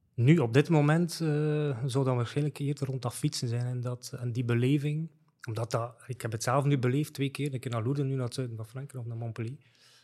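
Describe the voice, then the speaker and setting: A man's fairly quick, somewhat breathy delivery at medium pitch, with fairly even intonation. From West Flanders, Belgium (Lauwe, Wevelgem). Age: 50s. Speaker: e-commerce strategy consultant. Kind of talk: casual interview chat. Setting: studio.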